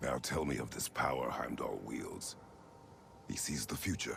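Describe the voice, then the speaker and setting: Over clear background noise, a man puts on a character voice. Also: moderate pace. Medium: video game. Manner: terse, grave.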